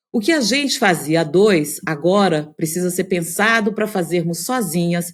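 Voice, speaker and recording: Against a silent background on a very clean recording, a woman with a normal speaking voice talks at a moderate pace with lively intonation. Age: 50s. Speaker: podcast host, journalist. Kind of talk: scripted podcast intro.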